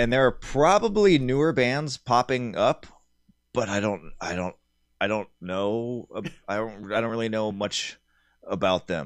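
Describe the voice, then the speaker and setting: In a plain, everyday voice, a man with an American accent and medium pitch speaks at a fairly slow pace with lively intonation. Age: 40s. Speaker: metal musician. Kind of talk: casual interview.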